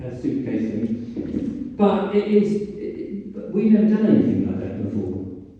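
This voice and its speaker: With a southern English accent, a man speaks at a fairly slow pace in a dark, mellow tone with vocal fry and very wide pitch swings. Audible room echo surrounds his voice. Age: 60s. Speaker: broadcaster and author. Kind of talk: public talk. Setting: lecture hall with audience. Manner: animated.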